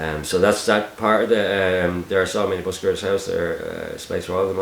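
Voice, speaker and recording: Speaking fairly quickly in a Dublin accent, a man is heard over noticeable background noise. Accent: Dublin Irish. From Ireland, Dublin. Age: 40s. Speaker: YouTube channel host, busking videographer. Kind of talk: Q&A video, casual monologue. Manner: hesitant, many fillers and repeats.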